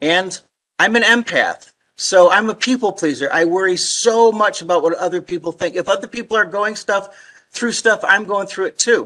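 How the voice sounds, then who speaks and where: A raised, projected voice with a bright, sharp tone, ordinary pitch variation and a moderate pace. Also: man, high pitch for a man. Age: 50s. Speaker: actor and motivational speaker. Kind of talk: public talk with slides. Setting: virtual presentation. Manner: halting with repeated syllables.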